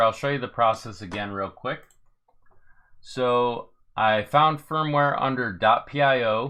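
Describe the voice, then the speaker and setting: A man talks at a fairly slow pace in an ordinary speaking voice. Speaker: 3D printing tech YouTuber. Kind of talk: live tutorial Q&A stream. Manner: casual, step-by-step.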